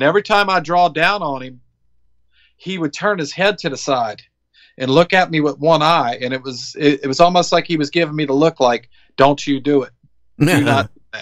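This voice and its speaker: A man with a Southern US accent talks at a moderate pace and a fairly high pitch. His pitch varies in an ordinary way, and the background is quiet. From Biloxi, Mississippi, USA. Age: 40s. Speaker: Iraq war veteran, business owner, deer hunter. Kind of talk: interview answer.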